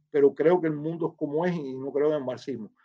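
At a moderate pace, a man speaks in a dark, mellow tone and a fairly high pitch. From Cuba. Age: 60s. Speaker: former intelligence officer. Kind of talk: interview testimony. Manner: halting.

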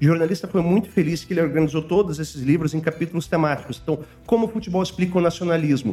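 A man talks very fast in a high voice with ordinary pitch variation. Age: 40s. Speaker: international relations professor. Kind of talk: casual chat.

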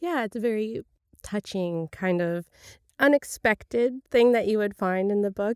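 A woman with a Canadian accent speaks in a plain, everyday voice, fairly high-pitched, at a moderate pace with ordinary pitch variation. The sound is dry and close with no echo, on a very clean recording with a silent background. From US, raised in Atlantic Canada from age six. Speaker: podcast host. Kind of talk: casual interview; scripted intro.

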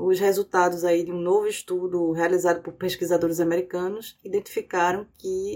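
At a moderate pace, a woman with an unremarkable speaking voice talks at a medium pitch. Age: 40s. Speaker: podcast host. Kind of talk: political analysis podcast.

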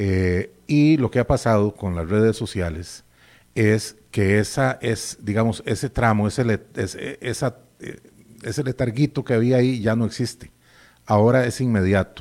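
At a fairly slow pace, a normal speaking voice carries ordinary pitch variation on a very clean recording with a silent background. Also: man, medium pitch for a man. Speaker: veteran radio broadcaster. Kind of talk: interview.

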